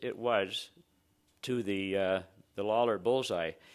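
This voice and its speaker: A man with a Canadian accent speaks at a moderate pace with ordinary pitch variation, on a very clean recording with a silent background. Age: 60s. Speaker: exploration geophysicist. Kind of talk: conference presentation. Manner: halting.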